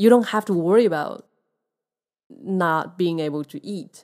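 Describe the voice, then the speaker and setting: This woman has a dark, mellow tone. She speaks with a Chinese accent. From Taiwan. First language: Mandarin Chinese. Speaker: podcast host. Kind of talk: casual interview. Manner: halting.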